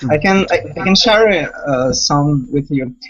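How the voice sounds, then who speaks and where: A man's fairly high-pitched voice in a Portuguese accent. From Brazil. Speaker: language learner. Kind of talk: casual chat. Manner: halting.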